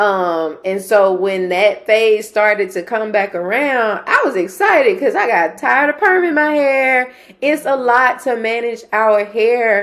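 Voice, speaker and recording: Speaking in a Southern US accent, a woman with a fairly high voice and lively intonation talks with hardly any pauses. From Mississippi. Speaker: interviewer. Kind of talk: interview.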